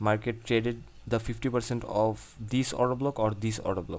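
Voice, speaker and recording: A man speaks with a non-native accent. His intonation is fairly even. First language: not English. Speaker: trading educator. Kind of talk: tutorial. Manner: halting.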